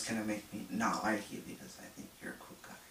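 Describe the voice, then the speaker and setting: Background noise is noticeable throughout. The delivery keeps a moderate pace. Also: man. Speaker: social worker. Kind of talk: casual talk to camera. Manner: hesitant, many filler words.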